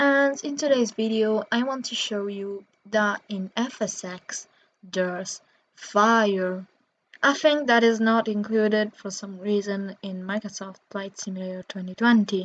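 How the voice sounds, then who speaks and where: With an Italian accent, the speaker goes at a fairly slow pace, with ordinary pitch variation and big swings in loudness. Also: woman, medium pitch for a woman. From Italy. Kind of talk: casual gameplay commentary.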